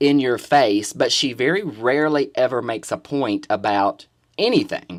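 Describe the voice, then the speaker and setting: Moderate pace on a very clean recording with a silent background. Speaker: drag queen vlogger. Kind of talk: opinion vlog monologue. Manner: loud, in your face.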